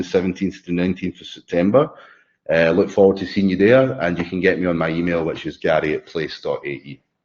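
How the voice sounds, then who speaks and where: A man with a very deep, low pitch and a dark, mellow tone speaks at a very fast pace with ordinary pitch variation. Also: quiet background. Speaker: company CEO presenting a webinar. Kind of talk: webinar presentation with Q&A. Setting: online webinar. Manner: hesitant, many fillers and repetitions.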